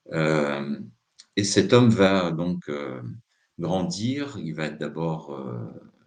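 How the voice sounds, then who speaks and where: Vocal fry marks this man's speech, and his pitch swings very widely. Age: 60s. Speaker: psychotherapist giving a talk. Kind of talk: live talk. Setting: live stream. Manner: hesitant, many filler sounds.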